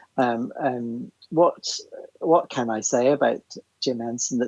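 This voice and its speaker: A fairly level delivery in a Northern Irish accent, dry and close with no echo. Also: man. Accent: Northern Irish (Belfast). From Northern Ireland, Belfast. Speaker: theatre writer and composer. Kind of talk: casual chat.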